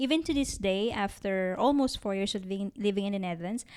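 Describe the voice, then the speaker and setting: Recorded very cleanly against a silent background, a woman with a Filipino accent speaks at a fairly quick pace, her medium pitch varying in an ordinary way. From Philippines. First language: Tagalog. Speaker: podcast co-host. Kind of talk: casual chat.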